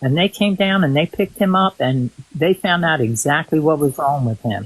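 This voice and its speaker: A man with a normal speaking voice, fairly high in pitch, uses lively intonation at a moderate pace, keeping very even loudness in a dry, close sound with no echo. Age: 60s. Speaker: guest on livestream. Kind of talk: casual chat. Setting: livestream.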